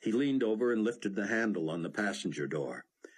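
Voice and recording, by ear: This is reading aloud in a natural voice, carried by lively intonation.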